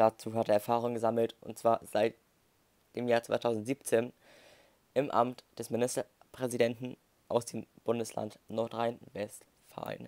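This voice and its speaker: A man's monotone, flat delivery at a fairly slow pace, with long, frequent pauses and a dry, close sound with no echo. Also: medium pitch for a man. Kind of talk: moderated debate. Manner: halting.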